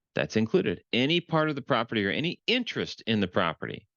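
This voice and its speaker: This man's voice carries vocal fry and very wide pitch swings. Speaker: real estate transaction consultant. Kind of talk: tutorial.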